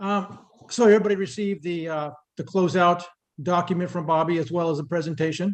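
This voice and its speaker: A man with a high pitch speaks at a very fast pace. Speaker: town official presenting finances. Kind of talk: public meeting presentation.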